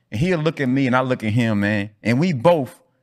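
In a very clean recording with a silent background, a man with an unremarkable speaking voice talks at medium pitch with lively intonation. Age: 40s. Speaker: podcast host, athletic coach. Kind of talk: casual chat.

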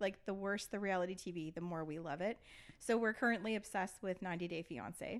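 A woman's voice, medium in pitch and fairly quick, an unremarkable speaking voice with ordinary pitch variation. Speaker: podcast host and tax lawyer. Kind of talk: casual chat. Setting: hotel room.

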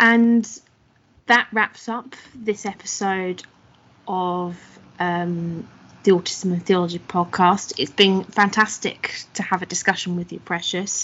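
A woman's medium-pitched, an ordinary speaking voice, with fairly even intonation at a fairly slow pace. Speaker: podcast host and researcher. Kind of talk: podcast interview.

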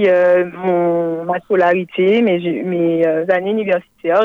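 Very slow in pace, a woman talks at a medium pitch. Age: 20s. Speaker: life coach. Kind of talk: radio panel discussion. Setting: phone call.

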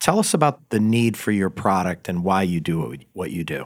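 Here is a man with an ordinary speaking voice and a fairly low pitch. The recording is very clean, with a silent background. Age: 50s. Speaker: podcast host. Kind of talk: interview.

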